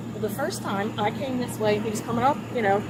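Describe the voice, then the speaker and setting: A woman with an American accent talks at a very fast pace. There is audible room echo and noticeable background noise. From Baltimore, Maryland. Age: 60s. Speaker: driver stopped by police. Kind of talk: confrontation with police. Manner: halting, defensive.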